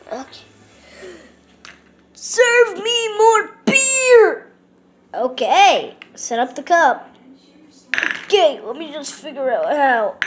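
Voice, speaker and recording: A cartoonish character voice at extremely high pitch creeps along at a very slow pace, with very wide pitch swings and long, frequent pauses. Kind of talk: puppet show talk to camera.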